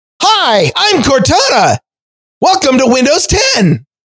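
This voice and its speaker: The voice is a put-on character voice, delivered at a fairly slow pace. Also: man, extremely high pitch for a man. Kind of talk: synthetic assistant voice. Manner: soothing, grating.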